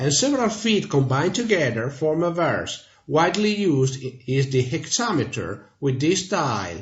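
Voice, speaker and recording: With an Italian accent, a man speaks at a moderate pace with hardly any pauses, his fairly high voice making very wide pitch swings. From Italy. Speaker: language teacher. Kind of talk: tutorial.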